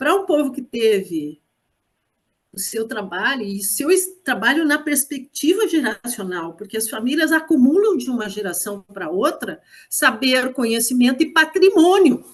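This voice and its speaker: A woman's high voice moves at a fairly slow pace, its pitch swinging very widely. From Brazil, Porto Alegre (Partenon). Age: 60s. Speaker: rural extension worker and anti-racism speaker. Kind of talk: talk in an online course. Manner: passionate.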